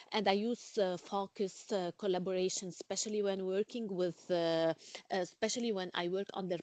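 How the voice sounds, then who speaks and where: At a fairly quick pace, a woman speaks with medium pitch and fairly even intonation in a dry, close sound with no echo. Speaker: course participant. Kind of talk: self-assessment in class discussion. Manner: halting.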